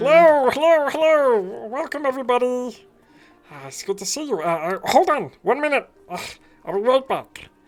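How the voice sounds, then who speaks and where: The speaker uses a put-on character voice with a fairly high pitch. The pace is moderate. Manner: fussy, welcoming.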